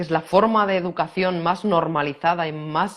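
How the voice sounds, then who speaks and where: A woman speaks at a fairly slow pace. Her fairly low pitch has ordinary pitch variation. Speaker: personal growth teacher. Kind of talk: conversational teaching talk.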